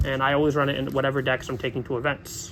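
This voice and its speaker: At a very fast pace, a man talks in a fairly high pitch. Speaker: card game content creator. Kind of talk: tutorial. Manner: halting; casual.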